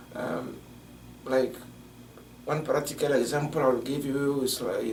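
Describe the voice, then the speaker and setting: A man talks with a West African French accent at a fairly high pitch. Noticeable background noise and audible room echo fill the recording. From Togo, West Africa. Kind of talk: interview. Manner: halting, many fillers.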